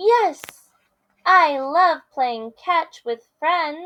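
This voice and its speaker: A woman uses a put-on character voice, squeaky and pitched extremely high, raised and projected. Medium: read story. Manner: bubbly, eager.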